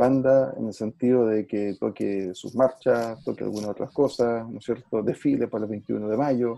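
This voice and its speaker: A man with a Chilean accent talks at a moderate pace and medium pitch, with fairly even intonation and hardly any pauses. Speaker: music teacher and former school principal. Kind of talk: interview conversation.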